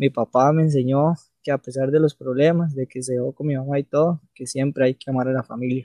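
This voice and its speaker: A man with a Costa Rican accent talks at a fairly quick pace in a dark, mellow tone. His intonation is monotone and flat, and the sound is dry and close with no echo. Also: medium pitch for a man. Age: 20s. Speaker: podcast co-host. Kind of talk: casual chat.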